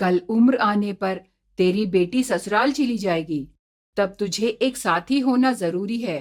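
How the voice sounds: This is a natural reading voice with ordinary pitch variation. The background is quiet.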